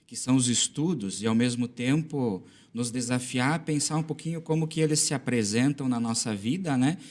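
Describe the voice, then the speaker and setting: An ordinary speaking voice at a moderate pace, with ordinary pitch variation, on a very clean recording with a silent background. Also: man, medium pitch for a man. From southern Brazil, western Santa Catarina. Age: 30s. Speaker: school administrator and former teacher. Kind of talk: podcast interview.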